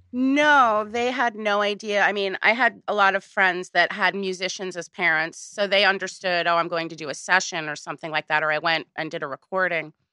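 This woman has an ordinary speaking voice with an American accent, a medium pitch and ordinary pitch variation, moving at a fairly quick pace. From US Northeast, Woodstock New York. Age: 40s. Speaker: singer. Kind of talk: casual interview.

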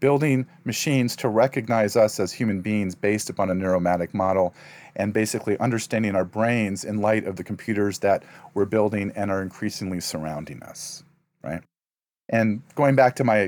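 A man with an American accent talks at a fairly quick pace, his pitch fairly low, in an ordinary speaking voice. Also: very clean recording, silent background. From US Midwest (Ohio). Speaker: professor of religious studies. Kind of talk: interview conversation.

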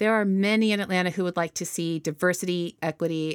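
Speaking at a moderate pace, a woman with a normal speaking voice and fairly low pitch is heard on a very clean recording with a silent background. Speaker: podcast host. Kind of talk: interview conversation.

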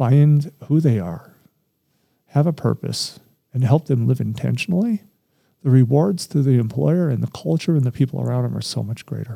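A man talks at a moderate pace and a medium pitch with lively intonation. His tone is dark, mellow and somewhat breathy. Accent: American. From Colorado (Littleton), after early years in Southern California. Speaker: credit union CEO, former basketball player. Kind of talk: interview. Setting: studio.

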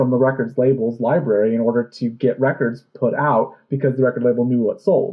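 A man with a medium pitch speaks in a normal speaking voice. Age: 30s. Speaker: podcast host. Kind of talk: casual chat.

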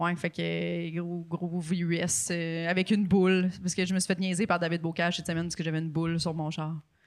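Fairly quick, with hardly any pauses, a monotone, flat intonation and a Quebec accent, on a very clean recording with a silent background. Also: woman, fairly low pitch for a woman. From Quebec City. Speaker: comedian and podcaster. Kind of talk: casual chat. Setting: studio.

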